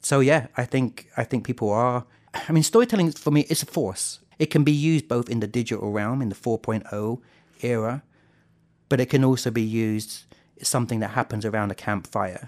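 At a fairly quick pace, a man with a southern English accent talks in a medium pitch with ordinary pitch variation, the sound dry and close with no echo. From southern England. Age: 40s. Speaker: storytelling festival president. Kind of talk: interview.

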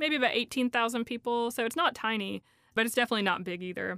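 A woman with an Appalachian accent speaks at a very fast pace in a fairly high voice with a bright, sharp tone. The sound is dry and close, with no echo. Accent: Appalachian Southern. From East Tennessee, Appalachia. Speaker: poet. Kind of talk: interview about her poetry.

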